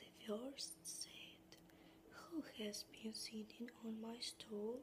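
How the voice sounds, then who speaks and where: Whispering from a woman, very slow in pace, with noticeable background noise underneath. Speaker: ASMR creator. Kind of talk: fairytale narration, whispered storytelling. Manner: whispered, soft-spoken.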